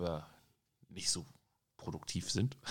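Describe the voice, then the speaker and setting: A man is speaking. His pace is moderate. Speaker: podcast host. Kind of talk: casual chat.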